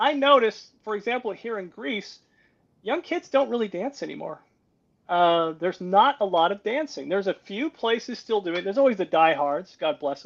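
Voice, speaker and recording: A high-pitched man with an American accent, very wide pitch swings, at a moderate pace. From United States. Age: 60s. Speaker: security and defense expert. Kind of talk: interview conversation.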